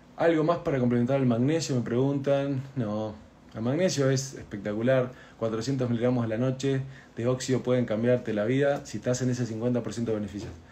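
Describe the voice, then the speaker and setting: A normal speaking voice moves at a moderate pace with fairly even intonation. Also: man, medium pitch for a man. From Argentina. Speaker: doctor. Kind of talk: health explainer video, answering viewer questions. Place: home room. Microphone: phone near.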